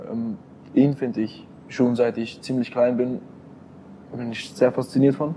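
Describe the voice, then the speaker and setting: A man's dark, mellow tone. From Switzerland, canton of Bern. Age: 20s. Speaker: crypto investor and entrepreneur. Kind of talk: interview.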